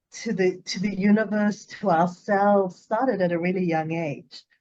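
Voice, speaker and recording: A woman with a South African accent speaks at medium pitch with ordinary pitch variation. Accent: South African, noticeable. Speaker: psychologist. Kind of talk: interview conversation. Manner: enthusiastic, some repetitions.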